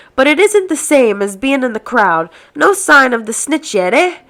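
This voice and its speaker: In a put-on character voice, a woman speaks at a moderate pace with a high pitch and very wide pitch swings, on a very clean recording with a silent background. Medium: read story. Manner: homely, gruff.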